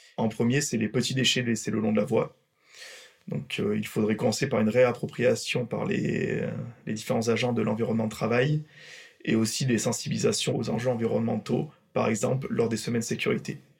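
Noticeable background noise sits behind a man's medium-pitched voice. He talks at a fairly quick pace with ordinary pitch variation. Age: 30s. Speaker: railway maintenance works manager. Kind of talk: workplace podcast interview. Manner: hesitant with fillers.

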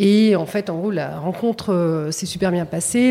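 A woman's medium-pitched speech at a moderate pace, ordinary pitch variation and noticeable background noise. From Paris region, France. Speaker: retail company executive. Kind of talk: interview.

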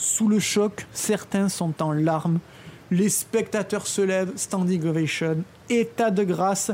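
A woman's very slow speech at a medium pitch with ordinary pitch variation, against noticeable background noise. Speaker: film podcast co-host. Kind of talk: scripted storytelling about film history.

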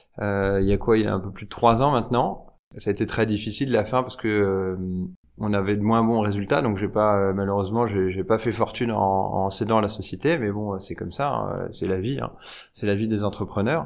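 Moving at a moderate pace, a plain, everyday voice carries ordinary pitch variation. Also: man. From France, Nièvre. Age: 30s. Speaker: fashion entrepreneur and tech founder. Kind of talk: casual interview. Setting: showroom.

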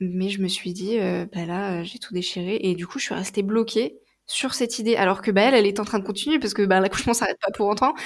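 A woman at a medium pitch, talking very fast. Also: ordinary pitch variation. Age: 20s. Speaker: naturopath. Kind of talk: testimony. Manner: hesitant, many fillers.

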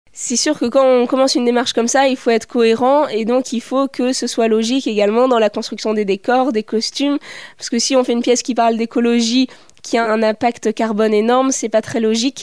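A woman's high voice, fairly quick and monotone, with a dry, close sound and no echo. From not from La Rochelle; studied in Paris region. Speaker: doctoral researcher and theatre maker. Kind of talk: interview.

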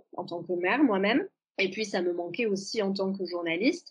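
A woman talks at medium pitch with ordinary pitch variation. Hers is a plain, everyday voice. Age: 30s. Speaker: journalist and author. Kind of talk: casual interview chat.

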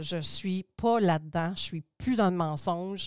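In a dry, close recording with no echo, a woman with a plain, everyday voice speaks at a moderate pace with ordinary pitch variation. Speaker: cosmetics entrepreneur and school founder. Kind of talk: interview.

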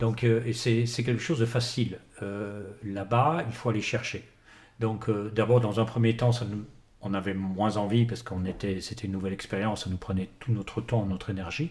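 A somewhat breathy man speaks at a medium pitch and moderate pace, with ordinary pitch variation and long, frequent pauses. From France. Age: 60s. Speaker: winemaker, former business lawyer. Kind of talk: interview. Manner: halting, repeats words.

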